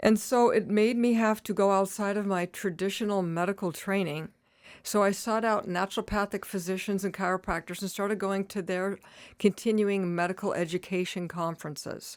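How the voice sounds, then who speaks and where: A woman talks at a fairly quick pace in an ordinary speaking voice, medium in pitch, with fairly even intonation. The recording is very clean, with a silent background. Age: 60s. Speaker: retired nurse practitioner and cannabis advocate. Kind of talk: casual interview.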